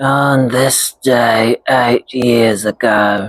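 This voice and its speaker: In a raspy put-on character voice, a man speaks at a medium pitch with monotone, flat intonation. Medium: read story. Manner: gentle, unaffected.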